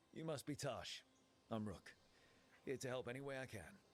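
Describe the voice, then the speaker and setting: In a put-on character voice, a man talks at a fairly quick pace with a raspy sound and a medium pitch. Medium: video game.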